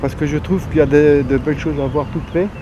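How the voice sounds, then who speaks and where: Through noticeable background noise comes a man with a fairly high pitch and fairly even intonation. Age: 70s. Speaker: amateur nature photographer. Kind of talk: interview. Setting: outdoors and at an exhibition. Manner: halting with repetitions.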